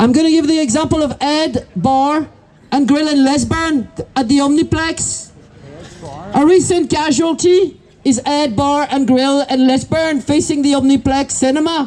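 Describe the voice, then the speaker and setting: A woman with a French accent and a high pitch speaks at a fairly slow pace, with fairly even intonation and very even loudness, over noticeable background noise. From France. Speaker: protest speaker, business owner. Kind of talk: protest speech. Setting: outdoor protest.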